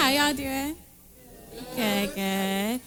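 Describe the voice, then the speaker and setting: With music in the background and audible room echo, a woman speaks in a raised, projected voice. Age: young. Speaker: spoken word poet. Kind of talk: live performance banter. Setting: stage with audience.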